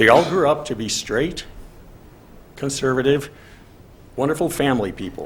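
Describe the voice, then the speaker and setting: Some room echo can be heard as a man speaks at a medium pitch and a moderate pace. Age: 60s. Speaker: public commenter at library board meeting. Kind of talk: public comment.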